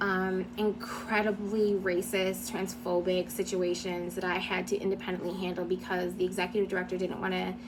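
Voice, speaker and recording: A woman at a medium pitch speaks in a monotone, flat intonation with hardly any pauses, against noticeable background noise. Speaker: former nonprofit director sharing experiences. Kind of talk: personal testimony. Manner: fast; hesitant with fillers.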